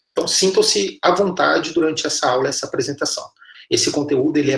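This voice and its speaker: A man is speaking. He has a strong Minas Gerais accent. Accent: strong mineiro Brazilian Portuguese. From Minas Gerais, Brazil (Patos de Minas). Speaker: university professor. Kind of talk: lecture.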